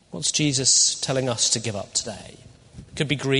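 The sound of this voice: What you hear is an unforced reading voice.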